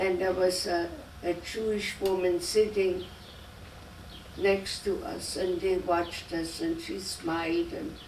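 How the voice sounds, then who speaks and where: Against noticeable background noise and audible room echo, a woman with a German accent talks at a very slow pace, medium in pitch, with fairly even intonation. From Germany. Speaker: immigrant interviewee, grandmother. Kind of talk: oral history interview. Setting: home interview. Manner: halting.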